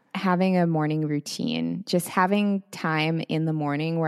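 With an American accent, a woman speaks in a very deep, low pitch with ordinary pitch variation, and the sound is dry and close with no echo. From Seattle area, US. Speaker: wellness creator and podcaster. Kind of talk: casual interview chat.

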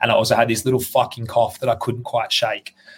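Speaking with an Australian accent, a man has a medium pitch. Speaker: CrossFit athlete. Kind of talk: casual chat. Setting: video call. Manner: fast.

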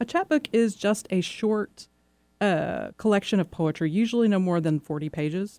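Dark, mellow tone from a woman at medium pitch, in a very clean recording with a silent background. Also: ordinary pitch variation, moderate pace. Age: 40s. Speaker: visual artist and poet. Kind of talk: radio interview. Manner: halting, many repetitions and fillers.

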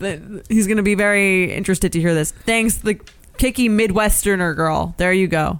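The passage is read aloud naturally. Its pitch rises and falls in a normal way.

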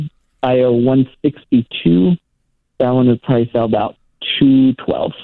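A man at medium pitch speaks at a very slow pace, leaving long, frequent pauses. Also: ordinary pitch variation. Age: 20s. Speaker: real estate worker, caller. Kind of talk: phone-in call. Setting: phone call.

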